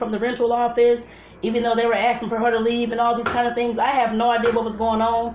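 A high-pitched woman at a very fast pace, with light background noise and audible room echo. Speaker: home cooking vlogger. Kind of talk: casual vlog chat. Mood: earnest advice. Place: kitchen. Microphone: phone near.

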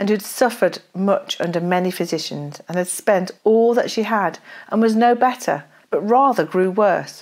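A woman at a moderate pace, with ordinary pitch variation, against a quiet background. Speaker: speaker. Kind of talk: devotional talk and scripture reading. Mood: solemn, reflective. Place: home room. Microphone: lapel.

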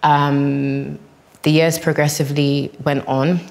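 With monotone, flat intonation, a woman speaks at a very deep, low pitch. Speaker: guest. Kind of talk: personal testimony in group discussion. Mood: calm, earnest, reflective. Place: hall.

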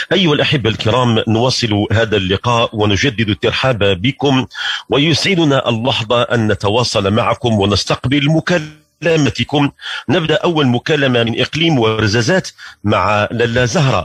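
A man speaks at a fairly slow pace in a Moroccan accent, with very even loudness. The sound is dry with no echo, over a quiet background. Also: lively intonation. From Morocco. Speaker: religious radio host. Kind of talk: religious talk. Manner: formal. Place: studio.

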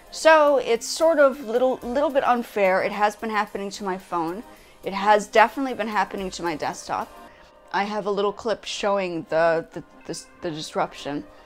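A woman speaks at a moderate pace, with big swings in loudness. Faint music plays in the background. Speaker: vlogger. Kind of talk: casual vlog chat. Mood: complaining, opinionated. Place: home room.

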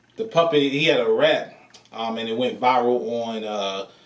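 A man speaking fairly slowly amid audible room echo. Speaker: reaction channel host. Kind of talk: casual vlog chat. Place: home room.

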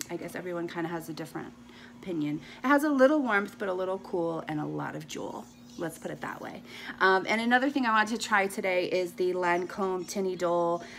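A woman speaking very fast with lively intonation and big swings in loudness, over light background noise. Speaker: beauty vlogger. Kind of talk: casual makeup tutorial chat. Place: home room. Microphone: phone near.

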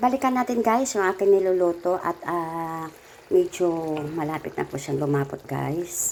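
This woman has a fairly low pitch and speaks at a fairly slow pace. Her intonation is lively. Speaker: cooking vlogger. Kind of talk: cooking tutorial. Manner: casual, chatty.

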